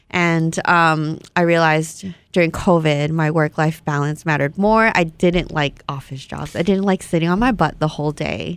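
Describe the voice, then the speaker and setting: A woman with a Vietnamese accent speaks at a moderate pace with hardly any pauses, in a fairly low pitch with fairly even intonation. The recording is very clean, with a silent background. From Hawaii. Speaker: Instagram model. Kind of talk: casual chat. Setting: studio.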